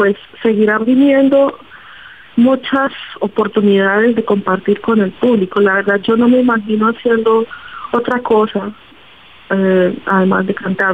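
A woman with a plain, everyday voice, moderate pace and fairly even intonation. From Colombia, Pacific coast (Buenaventura). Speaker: opera singer. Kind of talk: interview.

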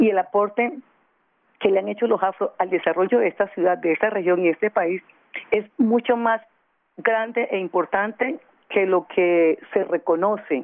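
A woman's medium-pitched voice at a moderate pace, with ordinary pitch variation, very even loudness, and long, frequent pauses. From Colombian Pacific coast, Buenaventura. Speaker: city culture official. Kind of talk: radio interview.

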